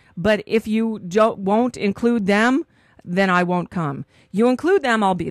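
A woman at a fairly slow pace, with ordinary pitch variation and a dry sound with no echo. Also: quiet background. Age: 50s. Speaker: radio talk show host; talk radio host. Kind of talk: live talk radio. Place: studio. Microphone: studio mic.

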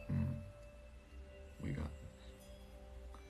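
Faint background music runs throughout. Over it, a man talks. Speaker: tarot live streamer. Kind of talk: casual live stream chat. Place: home room. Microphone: phone near.

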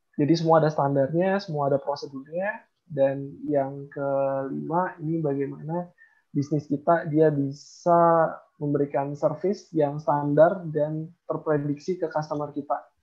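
Against a quiet background, a man with a fairly high pitch speaks at a fairly slow pace in a monotone, flat intonation. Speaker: software company CEO; presenter. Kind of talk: book review presentation. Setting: video call. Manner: calm and even, not explosive. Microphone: unstable internet connection; video call.

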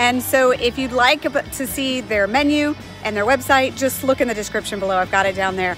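With clear music in the background and a dry sound with no echo, a woman speaks at a high pitch with ordinary pitch variation. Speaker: travel vlogger. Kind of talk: casual vlog chat. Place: street. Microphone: phone near.

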